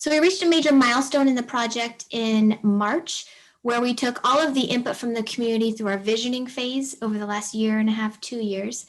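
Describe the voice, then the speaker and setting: At a fairly quick pace, a woman speaks with a fairly high pitch and ordinary pitch variation. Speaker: city planning manager. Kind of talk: presentation at online public meeting. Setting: video call. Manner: fast.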